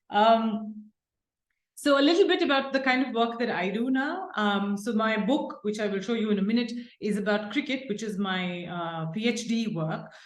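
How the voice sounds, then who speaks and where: Audible room echo surrounds a woman who talks at a moderate pace and a fairly high pitch with ordinary pitch variation. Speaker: professor. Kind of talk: lecture. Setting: seminar with audience.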